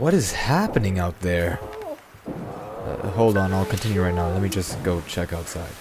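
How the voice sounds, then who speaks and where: A man with a very deep, low pitch speaks at a moderate pace with fairly even intonation. Music plays in the background, and there is audible room echo. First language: Spanish. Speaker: comedy YouTuber. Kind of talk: comedic scripted monologue. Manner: casual, joking.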